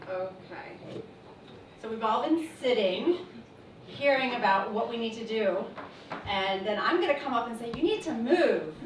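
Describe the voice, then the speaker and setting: A woman speaks at a fairly high pitch and fairly slow pace, with lively intonation and long, frequent pauses. Audible room echo and noticeable background noise surround her. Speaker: physical therapist. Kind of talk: presentation talk.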